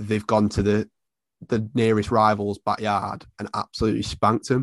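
This man speaks in a Mancunian accent at a moderate pace with fairly low pitch. The sound is dry and close with no echo, over a quiet background. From Salford, Manchester, England. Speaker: football fan and content creator. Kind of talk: casual interview.

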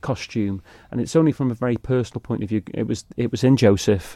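Over a quiet background, a man with a Manx accent speaks at a fairly quick pace in a dark, mellow tone, the sound dry and close with no echo. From Isle of Man. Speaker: amateur musical theatre performer. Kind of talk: casual interview.

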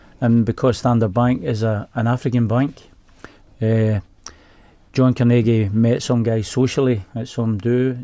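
Medium in pitch, a man speaks with a dark, mellow tone and fairly even intonation. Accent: Glaswegian. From Glasgow, Scotland. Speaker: bank employee. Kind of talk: radio interview. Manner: halting.

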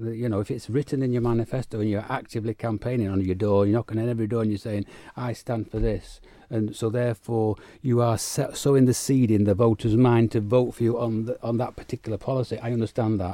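A man speaks very fast at a medium pitch in a flat monotone, on a very clean recording with a silent background. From United Kingdom. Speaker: politician. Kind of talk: political interview. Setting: radio studio.

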